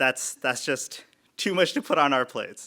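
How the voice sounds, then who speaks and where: In a very clean recording with a silent background, a man speaks with a fairly high pitch and a bright, sharp tone. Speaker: MRI program director. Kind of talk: graduation speech. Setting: virtual graduation ceremony. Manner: monotone.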